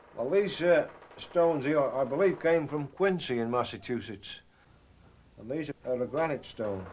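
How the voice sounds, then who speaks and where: A man with an English accent speaks at a moderate pace with lively intonation. Noticeable background noise can be heard. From England. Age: 60s. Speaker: millwright. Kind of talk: documentary interview, explaining craft.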